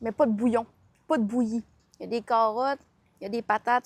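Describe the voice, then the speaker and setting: A woman's high-pitched voice at a fairly quick pace, dry and close with no echo. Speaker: food vlogger. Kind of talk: casual food review vlog. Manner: animated.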